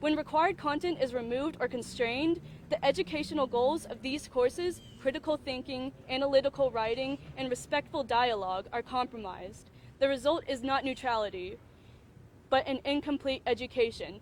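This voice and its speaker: A woman with a high pitch speaks at a fairly quick pace. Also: ordinary pitch variation. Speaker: undergraduate student speaker. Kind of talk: prepared statement at press conference. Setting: press conference. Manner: loud; halting, self-correcting.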